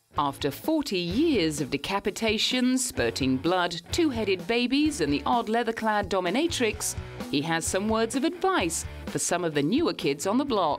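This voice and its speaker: With music in the background, the voice keeps a moderate pace and very even loudness while its pitch swings very widely. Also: woman, medium pitch for a woman. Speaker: entertainment news narrator. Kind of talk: TV news narration.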